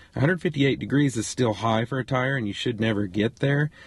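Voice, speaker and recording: A man's somewhat breathy voice shows ordinary pitch variation. The sound is dry with no echo, over a quiet background. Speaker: RV travel vlogger. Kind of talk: tutorial. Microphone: phone near.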